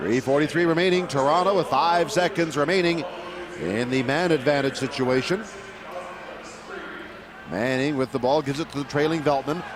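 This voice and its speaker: Noticeable background noise behind a man's fairly high pitch, with ordinary pitch variation, a moderate pace and long, frequent pauses. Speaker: sports play-by-play announcer. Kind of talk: indoor lacrosse play-by-play. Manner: energetic, polished.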